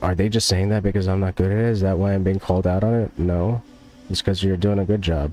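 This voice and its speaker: Over noticeable background noise, a man speaks at a moderate pace in a very deep, low pitch with fairly even intonation. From US, New Jersey. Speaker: gaming streamer. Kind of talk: casual chat. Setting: live stream.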